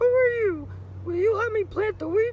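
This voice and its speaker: An extremely high, squeaky, female-sounding put-on character voice moves at a moderate pace. Background noise is clearly audible. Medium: read story. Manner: insistent, nagging.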